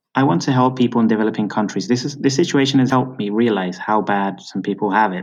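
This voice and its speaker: With a British accent, a man speaks in a fairly low voice with fairly even intonation over a quiet background. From Britain. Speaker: freelance writer and teacher. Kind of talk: interview.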